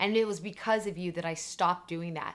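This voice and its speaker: In a very clean recording with a silent background, a woman with an ordinary speaking voice talks at a fairly quick pace, her fairly low pitch showing ordinary pitch variation. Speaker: podcast co-host, mother. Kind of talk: casual chat.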